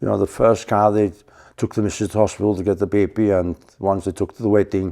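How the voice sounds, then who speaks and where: In a North Welsh accent, a man talks at a very fast pace with a fairly low pitch and a dark, mellow tone. His intonation is monotone and flat, and the recording is very clean with a silent background. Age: 70s. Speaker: museum owner and mechanic. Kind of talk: casual interview.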